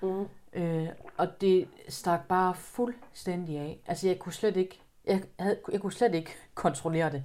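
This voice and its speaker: A dark, mellow tone at a fairly slow pace. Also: woman, medium pitch for a woman, ordinary pitch variation. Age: 30s. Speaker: guest sharing personal experience. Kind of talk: testimony. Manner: halting.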